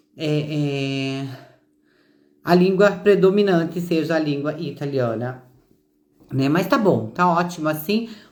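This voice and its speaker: A woman with a very deep, low pitch and ordinary pitch variation, at a very slow pace with long, frequent pauses, amid audible room echo. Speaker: citizenship consultant. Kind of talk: live stream talk. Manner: halting.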